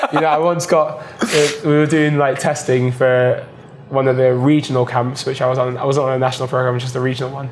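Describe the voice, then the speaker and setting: A man with a British accent speaks at a fairly quick pace and a medium pitch in a monotone, flat way, with audible room echo and noticeable background noise. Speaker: diver. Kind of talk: casual chat.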